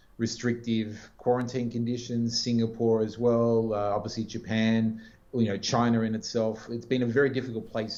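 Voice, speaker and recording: With an Australian accent, a man talks at a moderate pace and a medium pitch. His intonation stays flat and monotone. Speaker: business executive. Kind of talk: interview.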